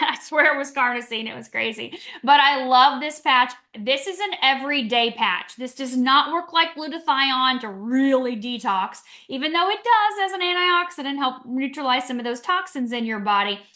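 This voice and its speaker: A woman's raised, projected voice, high-pitched and animated, with lively intonation. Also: big swings in loudness. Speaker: wellness presenter. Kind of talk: product presentation. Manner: fast.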